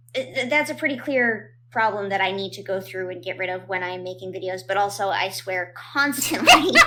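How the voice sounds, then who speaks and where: A woman at a medium pitch and a moderate pace, lively in intonation, with noticeable background noise. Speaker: animator and video creator. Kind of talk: casual interview chat. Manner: halting, many repetitions.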